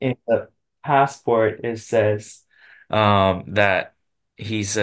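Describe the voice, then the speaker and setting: With a Chinese accent and fairly even intonation, the speaker goes at a very slow pace against a quiet background. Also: man. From Taiwan. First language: Mandarin Chinese. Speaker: guest host, parent. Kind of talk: casual chat. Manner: halting.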